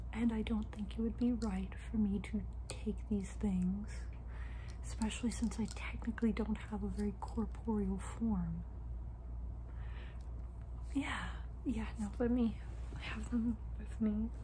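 Soft-spoken and gentle in tone, a woman talks at a very deep, low pitch in a monotone, flat intonation, moving at a fairly slow pace with long, frequent pauses over light background noise. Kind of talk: acted monologue to camera. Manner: soft, gentle ASMR roleplay voice. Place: home room. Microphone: phone near.

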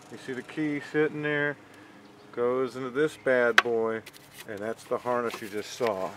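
Amid noticeable background noise, a man talks at a moderate pace with ordinary pitch variation in a dry sound with no echo. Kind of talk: casual explanatory walkthrough. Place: garden. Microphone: phone near.

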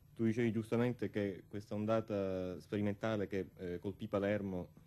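A man with a normal speaking voice at a moderate pace. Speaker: guest. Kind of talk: interview answer. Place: studio. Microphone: studio mic.

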